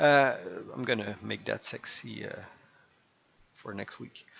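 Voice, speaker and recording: A fairly slow pace with a slight French Canadian accent. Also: man. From Quebec. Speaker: gaming YouTuber. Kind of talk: casual gameplay commentary. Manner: halting, many fillers.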